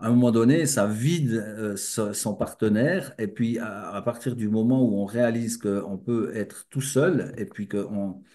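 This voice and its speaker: A man's dark, mellow voice at medium pitch, fairly slow, with hardly any pauses, ordinary pitch variation and a quiet background. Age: 60s. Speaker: spiritual speaker. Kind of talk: lecture. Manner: halting.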